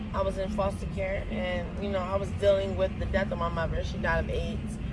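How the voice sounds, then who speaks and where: Both noticeable background noise and audible room echo are present. Over them, a woman speaks fairly quickly. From US South, Georgia. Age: 20s. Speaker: person in addiction interviewed on the street. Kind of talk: testimony. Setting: outdoors in a park.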